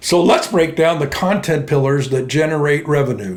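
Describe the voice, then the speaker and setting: Here a man talks at a fairly high pitch. Noticeable background noise and audible room echo fill the recording. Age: 80s+. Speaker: entrepreneur, finance YouTuber. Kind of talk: tutorial. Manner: casual.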